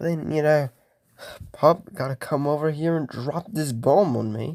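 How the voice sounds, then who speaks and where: The sound is dry and close, with no echo. A man with a fairly high voice speaks with lively intonation. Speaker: YouTuber. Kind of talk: casual movie review vlog. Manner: slow; rambling, hesitant.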